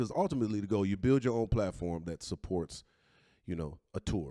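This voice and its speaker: In an American accent, a man speaks at a fairly quick pace with very wide pitch swings. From Detroit area, Michigan. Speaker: comedian and podcast host. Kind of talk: casual chat.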